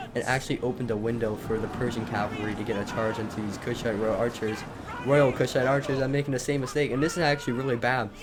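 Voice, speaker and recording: A man speaks very fast at a medium pitch with ordinary pitch variation over noticeable background noise. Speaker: gaming commentator. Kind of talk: live commentary. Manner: animated.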